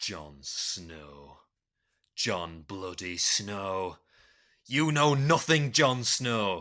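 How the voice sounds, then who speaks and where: A man puts on a character voice in a northern English accent, fairly low in pitch with very wide pitch swings. He speaks at a very slow pace with long, frequent pauses, in a very clean recording with a silent background. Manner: increasingly angry.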